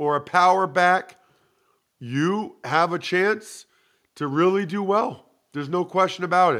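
A high-pitched man with a bright, sharp tone and ordinary pitch variation, at a fairly slow pace with long, frequent pauses. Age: 40s. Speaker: former NFL player and football podcast host. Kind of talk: casual chat.

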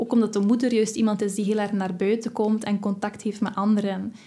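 Somewhat breathy, the woman's voice sits at a medium pitch. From West Flanders, Belgium. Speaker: massage therapist and witch. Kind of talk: casual interview chat.

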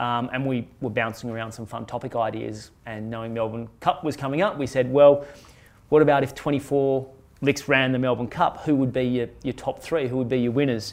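Against a quiet background, a man with a plain, everyday voice talks at a fairly quick pace in a medium pitch with fairly even intonation. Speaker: podcast host and investment publisher executive. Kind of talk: casual business chat podcast.

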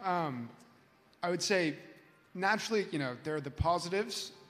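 With a Californian accent, this man speaks fairly quickly in a high-pitched voice with ordinary pitch variation, and room echo is audible. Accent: Californian American. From US West Coast, Los Angeles. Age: young. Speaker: university student. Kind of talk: panel discussion. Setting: stage with audience.

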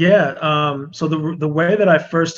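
A man is speaking. His intonation is fairly even. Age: 30s. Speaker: music writer. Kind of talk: casual chat.

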